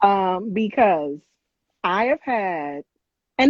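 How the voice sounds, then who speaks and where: A woman's normal speaking voice at medium pitch, with an American accent and lively intonation. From US West Coast, South Central LA. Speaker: e-commerce business owner. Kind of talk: live-stream interview. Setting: live stream video call.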